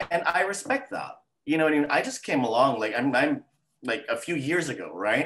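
Speaking at a fairly quick pace, a man with fairly high pitch has a normal speaking voice and lively intonation. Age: 40s. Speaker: model agency owner. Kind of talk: interview. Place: home room. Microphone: webcam.

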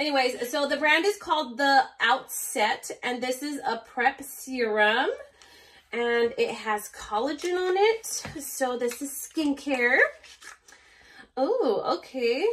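Over light background noise, a woman talks at a very slow pace with a high pitch and lively intonation. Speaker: beauty vlogger. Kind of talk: unboxing review. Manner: animated. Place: home room. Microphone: phone near.

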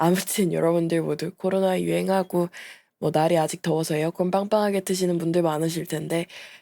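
A woman speaks at a moderate pace in a fairly low pitch with a dark, mellow tone. Her intonation is monotone and flat, on a very clean recording with a silent background. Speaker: VTuber. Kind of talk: casual vlog update.

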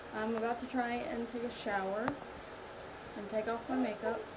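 Moderate pacing from a woman, loud background noise all around. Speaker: young mother vlogger. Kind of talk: casual vlog chat. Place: bathroom. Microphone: phone near.

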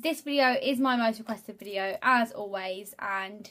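This woman speaks at a high pitch with a bright, sharp tone and lively intonation. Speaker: beauty vlogger. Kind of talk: casual vlog chat. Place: home room. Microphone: phone near.

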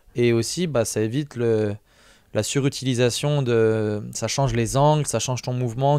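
A man speaks at a moderate pace with ordinary pitch variation, in a dry sound with no echo over a quiet background. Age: younger than 42. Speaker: strength athlete; podcast guest or host. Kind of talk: casual chat. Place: studio. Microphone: studio mic.

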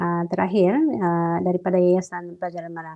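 Her tone dark and mellow, a woman talks at a moderate pace and medium pitch over a quiet background. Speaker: school counselor, emcee; webinar emcee. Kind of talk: formal ceremony emceeing. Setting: online webinar. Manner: formal. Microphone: earbuds.

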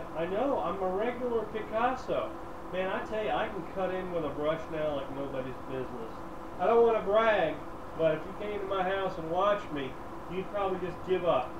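A man talks with ordinary pitch variation against noticeable background noise. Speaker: co-host. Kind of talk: casual chat. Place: home room.

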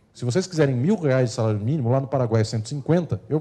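Against a quiet background, a man with a dark, mellow, somewhat breathy tone speaks at a fairly quick pace. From Brazil. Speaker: law lecturer. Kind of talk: lecture. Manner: formal. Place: hall. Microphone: handheld.

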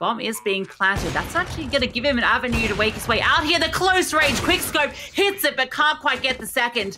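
This woman has a bright, sharp, energetic tone with very wide pitch swings. Vocal fry runs through her voice. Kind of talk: esports match commentary. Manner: fast, clipped play-by-play delivery; energetic, tracking each kill as it happens.

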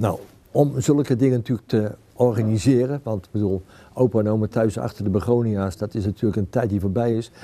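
A man talks at a fairly quick pace with ordinary pitch variation. His tone is dark and mellow. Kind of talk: interview answer. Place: hall.

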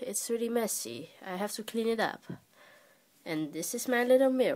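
Moving at a moderate pace, a woman's voice rises and falls in very wide pitch swings. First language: not English. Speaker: amateur artist. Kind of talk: casual talk to camera. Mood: shy, playful. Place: home room. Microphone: phone near.

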